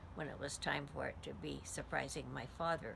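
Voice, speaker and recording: A woman speaks at a moderate pace. Vocal fry runs through her voice. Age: 80s+. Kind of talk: life story told to camera.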